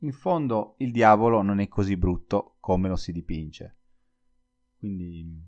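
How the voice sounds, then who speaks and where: Over a quiet background, a man talks in a fairly low pitch with ordinary pitch variation. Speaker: Italian language teacher podcaster. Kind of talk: solo educational podcast monologue.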